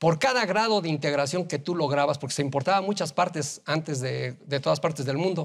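A man speaks at a fairly high pitch with ordinary pitch variation. He barely pauses, and the background is quiet. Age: 60s. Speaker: business association leader; guest. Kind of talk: TV interview. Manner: halting, many fillers and repeated words. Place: studio. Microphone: lapel.

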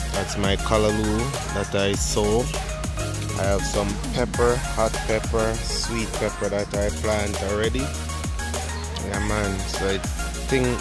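Loud music plays in the background as the voice moves at a very slow pace, the sound dry with no echo. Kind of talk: casual vlog chat. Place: garden. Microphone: phone near.

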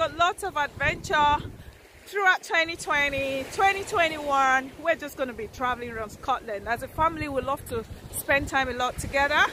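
A woman uses a raised, projected voice at a moderate pace, with big swings in loudness. The sound is dry with no echo, and there is light background noise. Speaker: travel vlogger. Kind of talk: casual vlog chat. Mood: cheerful, enthusiastic. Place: beach. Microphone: phone near.

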